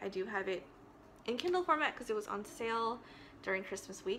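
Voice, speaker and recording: Fairly high female voice at a fairly quick pace, against noticeable background noise. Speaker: book vlogger. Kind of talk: casual vlog talk. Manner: fast.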